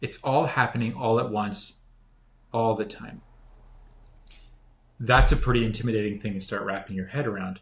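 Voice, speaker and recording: Speaking at a medium pitch and moderate pace, a man sounds somewhat breathy. His intonation is fairly even, with long, frequent pauses. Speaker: spiritual teacher. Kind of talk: casual chat.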